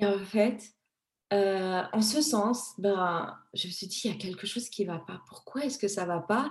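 Somewhat breathy, a woman with a dark, mellow tone speaks at a moderate pace with ordinary pitch variation. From Madagascar, moved to France at 15. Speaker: image consultant. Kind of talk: interview.

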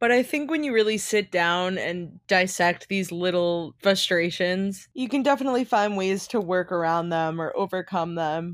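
An ordinary speaking voice with ordinary pitch variation and hardly any pauses. The recording is very clean, with a silent background. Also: woman, medium pitch for a woman, moderate pace. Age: 20s. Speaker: podcast co-host, type one diabetic. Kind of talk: casual chat.

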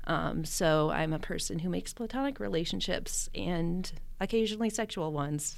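A woman talks at a moderate pace. There is audible room echo. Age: 20s. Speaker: chemistry teacher and aerialist. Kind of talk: casual interview chat.

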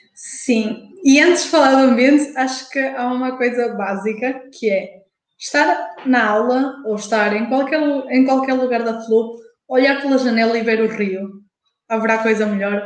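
Audible room echo surrounds a woman's high-pitched voice as she speaks at a fairly slow pace. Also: ordinary pitch variation. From Portugal, Porto. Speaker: university student. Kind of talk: casual chat. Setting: live stream.

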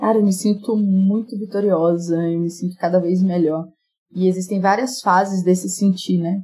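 This woman has a plain, everyday voice, medium in pitch, moving at a moderate pace with fairly even intonation. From Brazil, rural Minas Gerais (Jequitinhonha Valley). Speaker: entrepreneur and business mentor. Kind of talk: casual interview.

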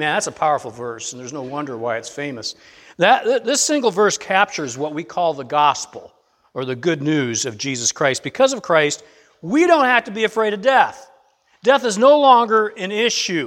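A man's high voice, with very wide pitch swings, big swings in loudness, and a moderate pace. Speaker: pastor. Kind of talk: sermon. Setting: church with congregation. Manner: halting, with many restarts.

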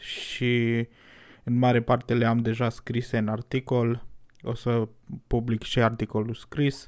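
A man speaks at a very slow pace. His intonation is flat and monotone. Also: very clean recording, silent background. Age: 20s. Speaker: podcaster. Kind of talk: personal reflection monologue.

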